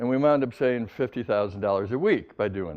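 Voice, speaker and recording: This man talks with an American accent at a moderate pace. His intonation is lively. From US Midwest. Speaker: psychologist lecturer. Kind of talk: public lecture.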